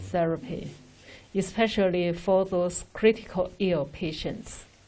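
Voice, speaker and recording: Speaking with a Chinese accent, a woman has a dark, mellow tone at medium pitch. Her intonation is fairly even and her pace fairly slow. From China. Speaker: respiratory doctor. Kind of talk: Q&A with overseas doctors. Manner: halting, hesitant.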